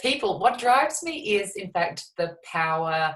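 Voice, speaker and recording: A woman with an Australian accent talks at medium pitch with very wide pitch swings. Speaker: shamanic psychotherapist and healer. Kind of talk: interview. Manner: animated.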